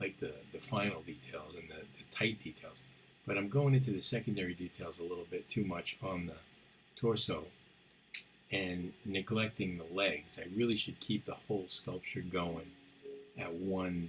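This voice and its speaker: A man speaks in a soft-spoken way. His pitch is very deep and low. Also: ordinary pitch variation, moderate pace. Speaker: sculptor. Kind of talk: tutorial. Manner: halting.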